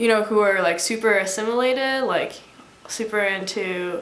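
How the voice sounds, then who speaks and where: A woman's fairly high-pitched voice at a moderate pace, with ordinary pitch variation and audible room echo. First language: Mandarin Chinese. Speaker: college student. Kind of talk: interview.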